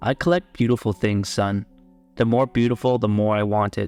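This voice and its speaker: A gruff, put-on character voice at very even loudness, with faint music in the background. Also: man, fairly low pitch for a man, moderate pace. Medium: read story. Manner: stern, gruff.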